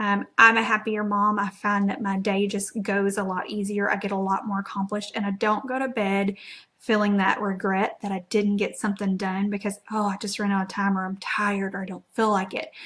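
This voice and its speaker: A woman with an American accent speaks fairly quickly, with hardly any pauses, in a bright, sharp tone and flat, monotone intonation. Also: medium pitch for a woman. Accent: Southeast Texas accent, per others. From Southeast Texas. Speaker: network marketing presenter. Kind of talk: live stream presentation. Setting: live video stream. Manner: casual, filler-heavy (lots of um).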